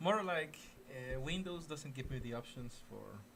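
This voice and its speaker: A man with a Mexican accent talks at medium pitch. His pitch varies in an ordinary way, with audible room echo. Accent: Mexican Spanish accent on English. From Mexico. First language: Spanish. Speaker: gaming streamer. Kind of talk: live gaming stream chat. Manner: halting, frequent repetitions and fillers.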